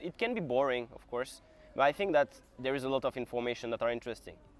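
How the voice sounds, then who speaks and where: With a French accent, a man talks very fast at a medium pitch, the sound dry and close with no echo. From France. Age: 20s. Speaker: calisthenics athlete and vlogger. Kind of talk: casual Q&A talk to camera.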